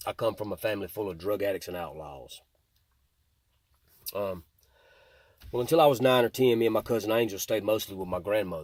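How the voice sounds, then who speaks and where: A man with a Mississippi accent, fairly low in pitch, at a fairly quick pace with long, frequent pauses and ordinary pitch variation, on a very clean recording with a silent background. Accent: Southern US (Mississippi). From US South, Mississippi (Jackson and Rankin County). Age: 40s. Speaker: recovered addict and former gang member. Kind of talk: testimony.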